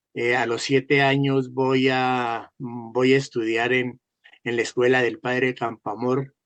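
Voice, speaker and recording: A man speaks at a very slow pace. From Colombia, Duitama (Boyacá). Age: 80s+. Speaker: amateur photographer. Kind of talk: interview conversation. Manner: halting.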